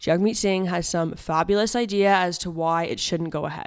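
An ordinary speaking voice with a Canadian accent, fairly quick and fairly even, on a very clean recording with a silent background. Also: woman. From Ontario. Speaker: news podcast co-host. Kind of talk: casual news discussion; news reading and discussion.

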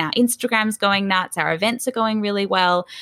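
Delivered at a fairly quick pace with an Australian accent, the voice has a bright, sharp tone and ordinary pitch variation. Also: woman. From Australia, Sydney. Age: 20s. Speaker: business founder. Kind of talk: casual chat.

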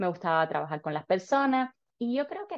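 Speaking with a slight Cuban accent, a woman uses lively intonation. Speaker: dentist and dental student. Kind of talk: interview.

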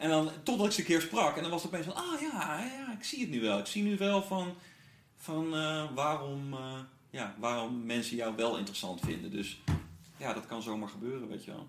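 There is audible room echo and noticeable background noise as a man speaks at a moderate pace. His pitch is fairly high, with very wide pitch swings. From Netherlands, Brabant (born in Gouda). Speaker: rapper. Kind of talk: casual chat. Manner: halting, many fillers.

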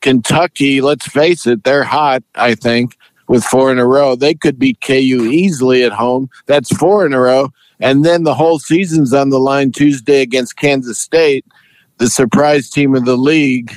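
A plain, everyday voice from a man, medium in pitch with fairly even intonation, a moderate pace and very even loudness, in a dry, close sound with no echo. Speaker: sportswriter. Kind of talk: casual sports interview.

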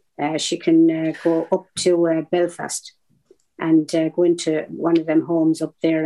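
A woman's dark, mellow, fairly low-pitched voice with an Irish accent. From southeast Ireland. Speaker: veteran activist. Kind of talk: interview storytelling.

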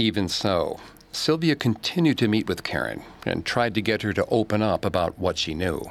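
A man speaks with a plain, everyday voice, pitched fairly low. His intonation is lively and his pace moderate. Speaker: podcast narrator. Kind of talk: true-crime narration. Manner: measured, grave storytelling tone.

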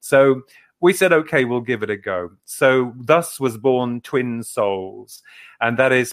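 Recorded very cleanly against a silent background, a man with an English accent speaks at a medium pitch. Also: dry, close sound with no echo. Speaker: author and paranormal researcher. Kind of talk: interview.

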